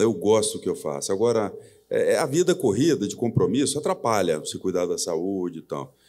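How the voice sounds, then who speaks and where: On a very clean recording with a silent background, this man's speech moves fairly quickly. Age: 60s. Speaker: company president. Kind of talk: live on-stage interview. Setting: stage with audience.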